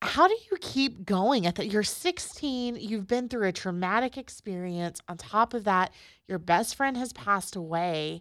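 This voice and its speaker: With a plain, everyday voice, a woman at medium pitch speaks at a fairly slow pace with lively intonation and hardly any pauses, in a very clean recording against a silent background. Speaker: podcast host. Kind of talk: guided prayer and interview.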